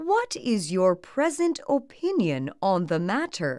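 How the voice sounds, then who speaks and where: Using a put-on character voice, a woman talks at a fairly slow pace in a fairly high register, her pitch swinging very widely. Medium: read story. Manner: serious, courteous.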